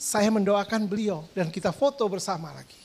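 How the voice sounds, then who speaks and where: Speech in a strong East Javanese accent comes across with an animated tone. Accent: East Javanese, strong (medok). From East Java, Indonesia. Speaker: pastor. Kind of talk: sermon.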